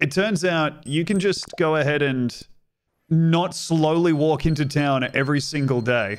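This man, with an Australian accent, talks at a fairly slow pace and fairly high pitch, with ordinary pitch variation and very even loudness. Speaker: streamer and comedian; streamer, comedian. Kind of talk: casual gameplay commentary. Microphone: studio mic.

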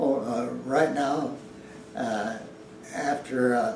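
Light background noise and audible room echo surround this recording. The man's pitch is fairly high. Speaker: patient. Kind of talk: interview answer. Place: office.

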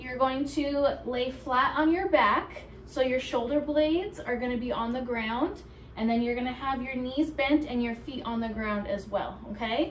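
With light background noise and audible room echo, a woman talks at a fairly slow pace in a high voice with ordinary pitch variation. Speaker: fitness instructor. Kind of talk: tutorial. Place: home room. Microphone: camera far.

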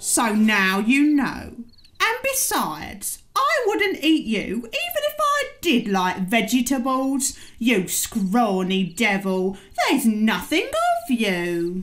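A female-sounding put-on character voice, fairly high in pitch, at a very slow pace. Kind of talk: comic character voice. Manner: huffy, chatty, rambling.

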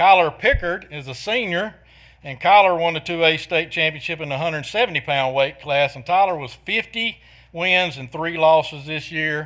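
A loud man at a fairly high pitch, bright and sharp in tone, at a moderate pace. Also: ordinary pitch variation. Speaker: school athletics official. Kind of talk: public meeting presentation.

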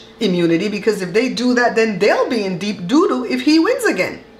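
Audible room echo surrounds a woman talking fairly quickly in a fairly high pitch. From Belize. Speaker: vlogger. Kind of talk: casual talk to camera. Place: kitchen.

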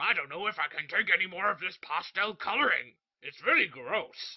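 A man with a high pitch at a moderate pace. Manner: grumpy, blunt.

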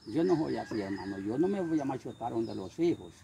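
Light background noise sits behind a man speaking at a moderate pace with very wide pitch swings, the sound dry with no echo. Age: 70s. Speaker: can collector living in poverty. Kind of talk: interview; testimony. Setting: at his home. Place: street.

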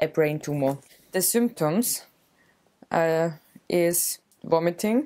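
A woman talks with lively intonation. Her tone is dark and mellow. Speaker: vlogger. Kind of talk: casual vlog chat. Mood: playful, joking. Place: home room. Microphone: camera far.

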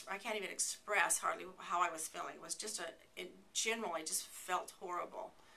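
Speaking fairly quickly at a medium pitch, a woman shows ordinary pitch variation and big swings in loudness. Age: 60s. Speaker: patient giving testimonial. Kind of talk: testimony. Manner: halting, many fillers and repeats. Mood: earnest, reflective.

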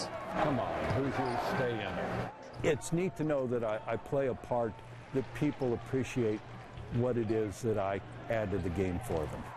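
Loud background noise sits under a man's voice. He speaks at a fairly slow pace with ordinary pitch variation. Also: dry sound with no echo. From United States, Indiana. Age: 60s. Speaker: public address announcer. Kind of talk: interview answer. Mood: amused, storytelling.

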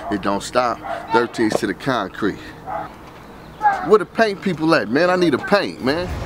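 A man talks at a moderate pace, the sound dry with no echo and noticeable noise behind him. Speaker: car channel host. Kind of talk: casual vlog chat. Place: street. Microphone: phone near.

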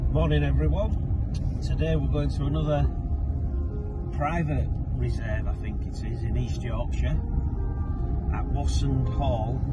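With music in the background, a man speaks at a fairly slow pace with long, frequent pauses, in a dry sound with no echo. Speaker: birdwatching vlogger. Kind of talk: casual vlog chat. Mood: cheerful, relaxed. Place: car. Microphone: camera far.

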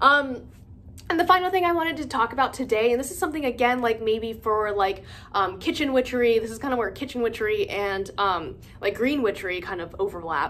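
A woman's fairly high voice swings very widely in pitch over light background noise. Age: 20s. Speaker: witchcraft content creator. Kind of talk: casual vlog monologue. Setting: filming alone at home. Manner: hesitant, many fillers. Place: home room. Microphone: phone near.

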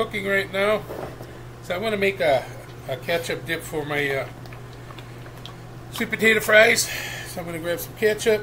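Lively intonation at a moderate pace, with long, frequent pauses and noticeable background noise. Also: man. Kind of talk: casual cooking tutorial. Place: kitchen. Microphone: webcam.

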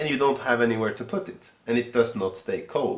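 His pitch varies in an ordinary way. The man talks at a fairly quick pace. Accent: Swedish. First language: Swedish. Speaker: yarn business co-owner; podcast co-host. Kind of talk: casual chat. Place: home room.

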